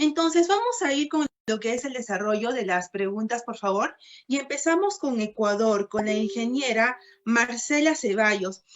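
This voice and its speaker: Speaking at a moderate pace, a woman has a fairly high pitch and lively intonation. It is an ordinary speaking voice. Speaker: moderator. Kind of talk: moderating a panel.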